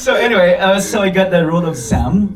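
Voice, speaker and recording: A man with a non-native accent, amid noticeable background noise and audible room echo. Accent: non-native Indonesian. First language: English (speaking Indonesian). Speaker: actor. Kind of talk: press conference. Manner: halting, many fillers; code-switching English and Indonesian.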